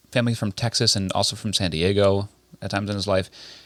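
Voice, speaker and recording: A man's mumbling, dry and close with no echo. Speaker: podcast co-host. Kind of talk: casual chat. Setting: indoors at a relative's house.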